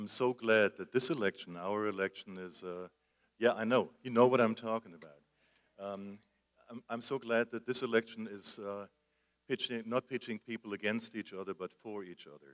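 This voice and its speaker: A man with a German accent speaks at a moderate pace in a medium pitch, with fairly even intonation and big swings in loudness, in a dry, close sound with no echo. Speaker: candidate giving a campaign speech to an association; works at a college in Florida. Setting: speech to a live audience. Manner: hesitant, many filler words.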